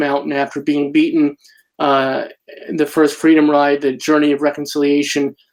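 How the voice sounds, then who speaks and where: This man has an ordinary speaking voice, fairly high in pitch, and talks at a moderate pace. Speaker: community activist, interviewer. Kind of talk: interview questions.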